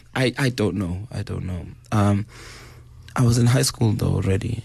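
Through noticeable background noise, a man speaks in a fairly low pitch with lively intonation. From South Africa, Durban. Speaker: hip hop DJ. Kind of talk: interview about grief. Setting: radio studio. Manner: halting.

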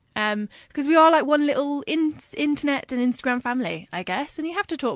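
Fairly quick, lively intonation from a woman, in a dry, close sound with no echo. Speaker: blogger. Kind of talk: casual interview chat.

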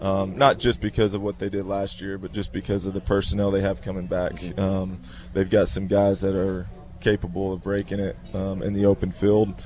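Using a normal speaking voice, a man pitched fairly low talks at a fairly quick pace with ordinary pitch variation. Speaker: high school football coach. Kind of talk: radio interview.

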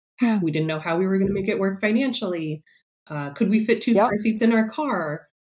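With an American accent, a woman talks at a fairly quick pace and medium pitch, somewhat breathy, her intonation lively. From New York City. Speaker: writer and mother of twins. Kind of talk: casual interview, personal story.

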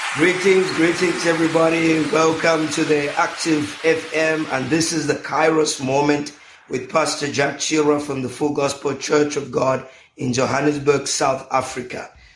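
A man's fairly high voice, flat and monotone, with audible room echo and noticeable background noise. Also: moderate pace. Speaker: pastor and radio host. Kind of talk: radio talk show interview. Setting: radio studio.

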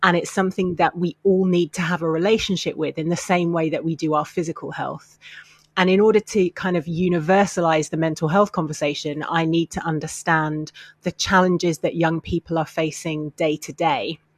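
Her British accent and fairly even intonation come through as a woman talks at a fairly quick pace in a dry, close sound with no echo. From UK. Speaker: mental health campaigner. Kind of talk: interview.

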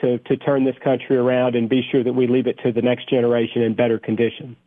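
A man's medium-pitched voice with a Tennessee accent at a very fast pace. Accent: Tennessee Southern. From Tennessee, Cookeville. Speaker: congressman. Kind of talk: radio interview. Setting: phone call.

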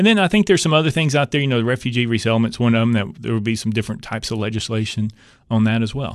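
The speaker has an East Tennessee accent. The pace is very fast, with ordinary pitch variation. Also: man, medium pitch for a man. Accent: East Tennessee Southern US. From East Tennessee (Knoxville). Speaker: state politician. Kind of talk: radio interview.

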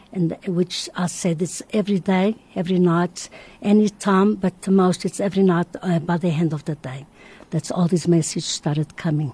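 A woman speaks at a moderate pace in a fairly low, dark and mellow tone that is somewhat breathy. Her intonation stays fairly even, and the sound is dry and close with no echo. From Madeira, Portugal. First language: Portuguese. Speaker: religious visionary. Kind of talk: radio interview, testimony. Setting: radio studio.

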